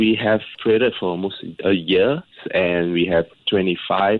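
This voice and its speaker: The man speaks at a fairly low pitch with fairly even intonation. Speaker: senior living entrepreneur. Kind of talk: radio interview. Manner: calm.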